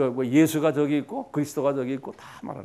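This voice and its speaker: A man's fairly high pitch pairs with a dark, mellow tone. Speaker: pastor. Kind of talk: lecture. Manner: conversational, repetitive fillers.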